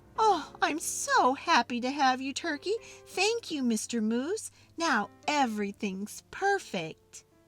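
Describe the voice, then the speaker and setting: A female-sounding voice does a put-on character at a high pitch with very wide pitch swings. The pace is fairly slow, and faint music plays in the background. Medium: read story.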